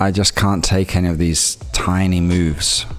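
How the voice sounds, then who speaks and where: A man with an English accent over music in the background. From half English, Greek background. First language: Greek. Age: 30s. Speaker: forex day trader streamer. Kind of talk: live trading stream commentary. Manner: casual, halting with repetitions.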